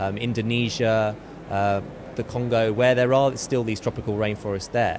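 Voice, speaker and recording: A man's medium-pitched voice at a fairly quick pace, fairly even in intonation, with noticeable background noise. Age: young. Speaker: charity campaigner. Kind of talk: interview.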